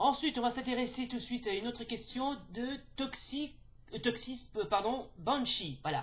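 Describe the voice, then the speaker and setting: A man's extremely high-pitched voice at a fairly slow pace with ordinary pitch variation. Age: 30s. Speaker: YouTuber. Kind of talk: casual chat. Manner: halting.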